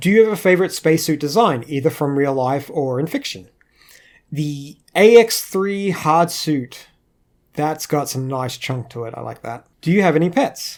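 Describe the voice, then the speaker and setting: On a very clean recording with a silent background, a man with an Australian accent speaks at a moderate pace and fairly high pitch, with lively intonation and big swings in loudness. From Australia, Queensland. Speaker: animator. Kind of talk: Q&A monologue. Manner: casual, hesitant with fillers.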